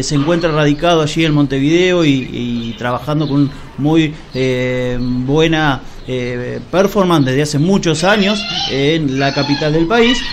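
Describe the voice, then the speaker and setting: A fairly high-pitched man at a fairly slow pace, with ordinary pitch variation and noticeable background noise. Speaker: radio host. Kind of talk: radio interview hosting.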